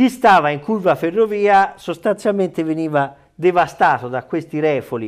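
High-pitched man at a moderate pace, lively in intonation, with hardly any pauses and a quiet background. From Italy. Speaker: sports journalist. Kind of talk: casual chat.

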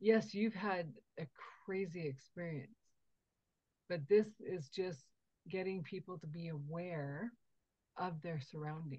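A woman with a fairly low pitch speaks in a somewhat breathy voice, with ordinary pitch variation. Her loudness swings widely, and she takes long, frequent pauses. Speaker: podcast host. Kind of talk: podcast interview.

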